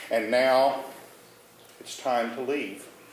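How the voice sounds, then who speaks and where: A man at a fairly slow pace and fairly high pitch, with noticeable background noise and audible room echo. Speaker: storyteller. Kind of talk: personal storytelling performance.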